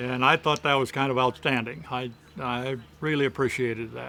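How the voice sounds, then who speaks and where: A man speaks at a moderate pace with a Midwestern American accent. His tone is bright and sharp. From Michigan. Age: 70s. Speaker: retiree, amputee patient. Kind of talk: interview answer.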